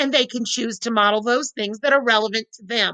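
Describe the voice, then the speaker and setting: A woman projects a raised voice with a bright, sharp tone and fairly even intonation, the sound dry and close with no echo. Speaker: teacher. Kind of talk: professional development presentation. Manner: loud.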